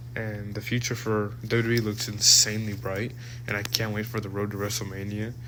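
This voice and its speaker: This man talks at a moderate pace in a fairly low pitch with monotone, flat intonation. Room echo can be heard. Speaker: wrestling show reviewer. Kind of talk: casual solo review monologue. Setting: recorded at workplace. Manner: halting, many restarts and fillers.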